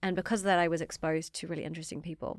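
In a dry, close recording with no echo and a silent background, a woman speaks with a fairly low pitch and monotone, flat intonation. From New Zealand. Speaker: fashion startup founder. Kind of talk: interview.

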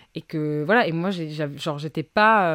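A woman uses an ordinary speaking voice with ordinary pitch variation, recorded very cleanly with a silent background and a dry, close sound with no echo. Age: 20s. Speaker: upcycling fashion brand founder. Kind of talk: casual chat.

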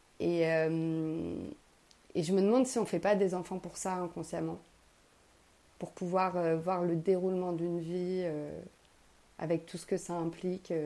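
A woman's dark, mellow voice, fairly low in pitch, with monotone, flat intonation, a fairly slow pace and long, frequent pauses. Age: 30s. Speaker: writer sharing personal voice notes. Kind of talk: personal monologue voice note. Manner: hesitant, many fillers and repetitions.

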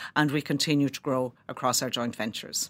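A woman is speaking. She has a Kilkenny Irish accent. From Ireland, Kilkenny. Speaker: company chief executive. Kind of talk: interview.

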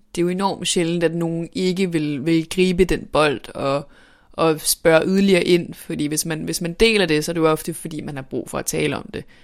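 At a moderate pace, a woman speaks with fairly low pitch and ordinary pitch variation on a very clean recording with a silent background. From northern Denmark. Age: 20s. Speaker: journalism student and author. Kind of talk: personal testimony interview. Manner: halting, many repetitions and fillers.

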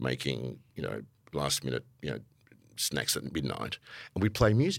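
A man with an Australian accent, very deep and low in pitch, with vocal fry. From Melbourne, Australia (Italian-born). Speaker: podcast host, music industry manager. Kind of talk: casual conversation interview. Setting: live recording before an audience.

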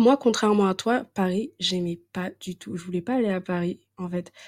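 A woman's medium-pitched, ordinary speaking voice at a fairly slow pace, with fairly even intonation, in a very clean recording with a silent background and a dry, close sound with no echo. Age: 20s. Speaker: podcast host. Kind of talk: casual chat.

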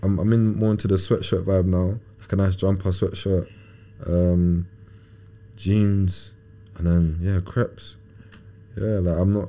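A man with a southern English accent speaks at a very deep, low pitch in a dark, mellow tone. He talks at a fairly slow pace with long, frequent pauses, very even loudness and monotone, flat intonation. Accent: southern English, London-area. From England. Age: 20s. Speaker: professional footballer. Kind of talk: casual interview.

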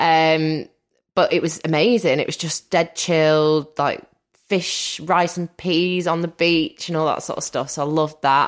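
A woman speaks at a fairly slow pace with a Mancunian accent and a fairly low pitch. The recording is very clean, with a silent background. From Manchester, northern England. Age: 30s. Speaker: podcaster and former reality TV contestant. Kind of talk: casual interview chat. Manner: animated, laughs often.

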